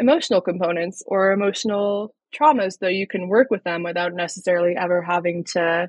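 Her voice is a plain, everyday voice: a woman at medium pitch with fairly even intonation and a fairly quick pace. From Colorado, US. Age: young. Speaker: yoga therapist. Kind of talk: interview.

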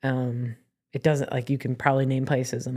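A woman's very deep, low voice with an American accent, monotone and flat, at a fairly quick pace. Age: 40s. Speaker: DJ and former basketball player. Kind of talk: casual interview. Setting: studio with small audience.

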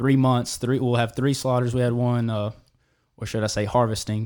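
Medium-pitched male speech, the intonation fairly even. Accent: Alabama. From Alabama, US South. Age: 20s. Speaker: cattle farmer. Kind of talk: casual chat. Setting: studio.

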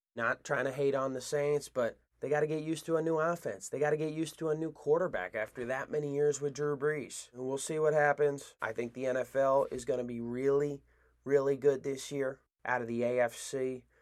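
With an unremarkable speaking voice, a man talks at a fairly quick pace and a fairly high pitch in a very clean recording with a silent background. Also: fairly even intonation. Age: 20s. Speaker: sports podcast host. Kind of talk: solo sports commentary podcast.

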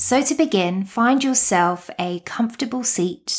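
A woman with a British accent speaks in a calm, soothing tone. The recording is very clean, with a silent background. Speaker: meditation coach and podcast host. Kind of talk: guided meditation. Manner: calm, slow, soothing; gentle, unhurried, with long pauses.

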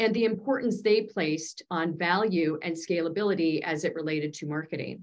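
Her tone is enthusiastic as a woman speaks at a moderate pace. Her pitch is fairly low, with ordinary variation. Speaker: podcast host. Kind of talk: interview.

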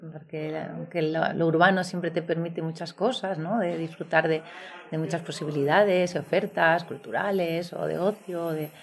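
At a moderate pace, a woman talks with a fairly low pitch and fairly even intonation over noticeable background noise. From Valladolid, northern Spain. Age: 40s. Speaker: former lawyer turned guesthouse owner. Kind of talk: interview.

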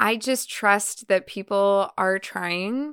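On a very clean recording with a silent background and a dry, close sound without echo, a woman speaks at medium pitch in a bright, sharp, animated and energetic tone. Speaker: podcast host and event educator. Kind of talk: solo podcast monologue. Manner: animated, energetic, varied pitch; conversational, warm.

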